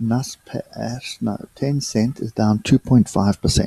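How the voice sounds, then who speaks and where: With a dark, mellow tone, a man speaks at a fairly slow pace and medium pitch with ordinary pitch variation, in a dry, close sound with no echo. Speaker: day trader giving market analysis. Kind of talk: trading tutorial / market review. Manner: hesitant, with fillers and self-corrections.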